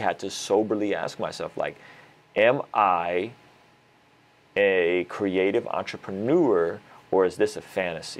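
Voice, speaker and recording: This is a man speaking. His pitch sits fairly low. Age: 30s. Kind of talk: casual interview chat. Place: studio. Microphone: lapel.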